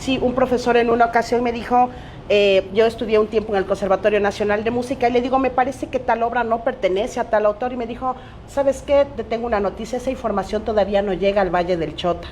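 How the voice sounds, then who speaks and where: Noticeable background noise sits under the speech. The pace is very fast and the intonation fairly even. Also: woman, fairly high pitch for a woman. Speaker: teacher and Afro-Ecuadorian activist. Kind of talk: panel discussion.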